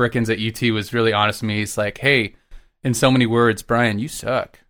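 A man with an American accent speaks at a fairly low pitch in a bright, sharp tone with fairly even intonation, recorded very cleanly against a silent background. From Texas. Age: 30s. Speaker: orchestral trombonist. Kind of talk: casual chat.

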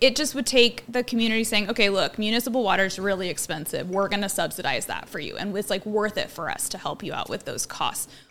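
Music plays in the background as a woman with an American accent talks at a very fast pace with hardly any pauses. Her pitch is fairly high, with ordinary pitch variation. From Oregon. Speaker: small urban farmer. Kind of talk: casual chat.

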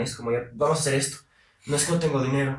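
A man's fairly high voice carries audible echo from the room. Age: 20s. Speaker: university student and political commentator. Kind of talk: casual interview.

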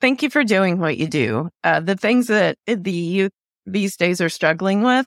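A normal speaking voice from a woman at medium pitch, fairly slow and lively, with a dry, close sound, no echo, and a very clean recording with a silent background. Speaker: podcast host. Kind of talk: interview, friendly.

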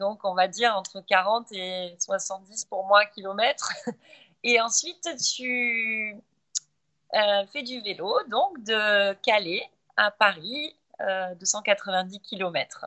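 Speaking very slowly, a woman leaves long, frequent pauses. Her pitch variation is ordinary. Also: medium pitch for a woman. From southern France, Montpellier. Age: 40s. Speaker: endurance athlete. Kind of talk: podcast interview.

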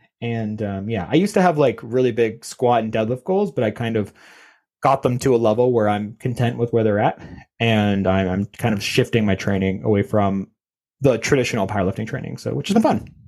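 Speaking fairly quickly with a Canadian accent, a man uses a medium pitch and ordinary pitch variation on a very clean recording with a silent background. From Canada. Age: 30s. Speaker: strength coach. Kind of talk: casual interview.

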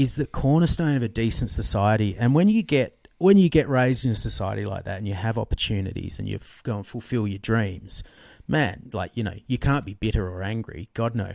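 Lively intonation marks this man's fairly quick delivery. The recording is very clean, with a silent background. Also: medium pitch for a man. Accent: Australian. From Australia. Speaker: author and financial journalist. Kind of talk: interview conversation.

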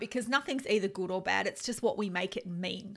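In a very clean recording with a silent background, a woman with an Australian accent speaks at a moderate pace, her tone bright and sharp and her pitch varying in an ordinary way. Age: 50s. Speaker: life coach and podcast host. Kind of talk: solo self-help podcast monologue.

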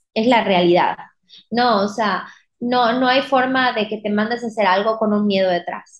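Using a normal speaking voice, a woman talks at a moderate pace. Her pitch is fairly high, with ordinary variation. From Mexico, Mérida, Yucatán. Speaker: wedding dress designer. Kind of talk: casual interview.

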